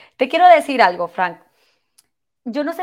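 In a very clean recording with a silent background, a woman speaks in an animated tone with very wide pitch swings. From Venezuela. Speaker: podcast host, brand strategist. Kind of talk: interview podcast.

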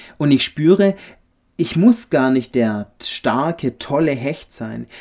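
A man's voice at a medium pitch. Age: 30s. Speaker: refrigeration technician, church member. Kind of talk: personal faith testimony.

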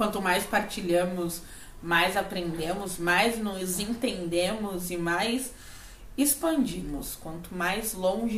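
A woman talks at a very slow pace with ordinary pitch variation. Audible room echo and noticeable background noise accompany her. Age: 30s. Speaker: podcast co-host, spiritual and emotional coach. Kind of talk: casual chat. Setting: at home.

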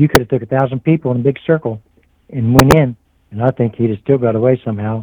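A man with an American accent, medium pitch, fairly even intonation and a very fast pace. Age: 60s. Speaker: eyewitness guest. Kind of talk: casual interview storytelling.

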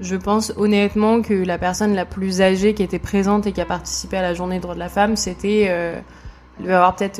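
Very fast speech from a medium-pitched woman, with monotone, flat intonation. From France, Burgundy. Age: 20s. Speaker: manager. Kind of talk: casual chat. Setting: at her home.

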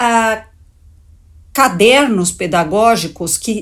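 A woman speaking very slowly in a somewhat breathy voice with very wide pitch swings, on a very clean recording with a silent background. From Brazil, São Paulo. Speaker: education policy expert, former education secretary. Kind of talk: interview.

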